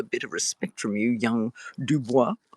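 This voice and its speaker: A woman with an Australian accent in a dry, close sound with no echo. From Australia (Tasmania). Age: 60s. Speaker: author. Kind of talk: casual live stream chat. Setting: live video stream. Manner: chatty, digressive with fillers.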